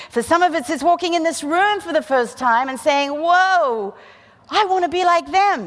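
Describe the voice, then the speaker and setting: Lively intonation and a moderate pace in an Australian accent. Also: woman. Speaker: physician and keynote speaker. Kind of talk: motivational keynote speech.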